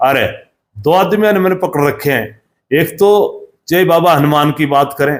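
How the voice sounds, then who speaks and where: A normal speaking voice from a man, with ordinary pitch variation. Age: 60s. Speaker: former state legislator. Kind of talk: interview.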